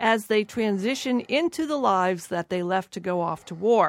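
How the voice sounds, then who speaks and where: A woman's voice, marked by very wide pitch swings, comes through a very clean recording with a silent background. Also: dry, close sound with no echo. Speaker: radio host. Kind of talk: radio interview. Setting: studio.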